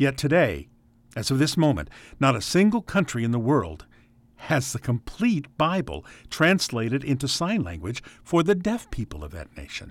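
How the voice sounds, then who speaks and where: Using vocal fry and very wide pitch swings, a man with an American accent speaks at a moderate pace on a very clean recording with a silent background. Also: medium pitch for a man. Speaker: radio host. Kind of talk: radio program hosting.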